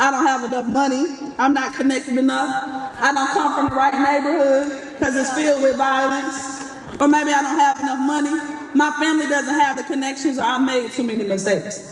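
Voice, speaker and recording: Speaking with an Atlanta accent, a woman talks fairly quickly in a high voice with fairly even intonation. The room echo is audible and the background noise is noticeable. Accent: Southern Atlanta. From US South, Atlanta. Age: 30s. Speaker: commencement speaker. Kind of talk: commencement speech. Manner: fast.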